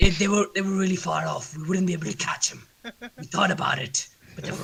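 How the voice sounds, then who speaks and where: This man's put-on character voice is gruff, raspy and high-pitched, delivered at a fairly quick pace. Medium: actual play. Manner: blunt, clipped.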